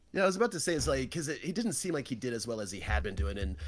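Vocal fry runs through a man's speech, which has very wide pitch swings. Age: 40s. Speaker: sumo podcast co-host. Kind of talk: casual chat. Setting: online stream room.

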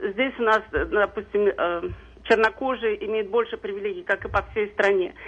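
Ordinary pitch variation at a moderate pace. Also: woman, fairly high pitch for a woman. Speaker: caller, social services worker. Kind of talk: call-in comment. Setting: phone call.

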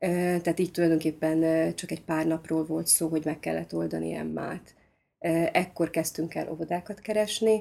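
A very clean recording, silent background, and a woman's voice at a moderate pace. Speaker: conductive education teacher and parent. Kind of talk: casual conversation.

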